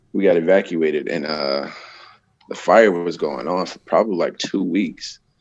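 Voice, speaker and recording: A man with an American accent speaks at a moderate pace in a very deep, low voice with ordinary pitch variation. His loudness swings widely. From Florida (Tampa). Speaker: professional wrestler. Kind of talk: casual chat.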